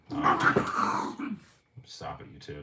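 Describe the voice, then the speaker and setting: This man's voice has a bright, sharp tone. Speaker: streamer and motivational YouTuber. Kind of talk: casual livestream talk. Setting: home livestream in apartment. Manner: occasionally slurs words; filler-heavy, loose delivery.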